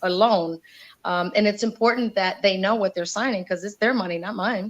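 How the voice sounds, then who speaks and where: A woman with a medium pitch speaks in an energetic tone at a moderate pace, her pitch varying in an ordinary way. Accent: Spanish. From Indiana, US Midwest. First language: Spanish. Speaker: community activist and radio host. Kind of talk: interview.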